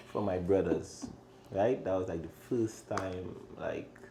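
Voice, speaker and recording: A man's very deep, low voice at a very slow pace, with audible room echo. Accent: strong Trinidadian. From Trinidad and Tobago. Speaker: chef and restaurant owner. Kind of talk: casual interview chat.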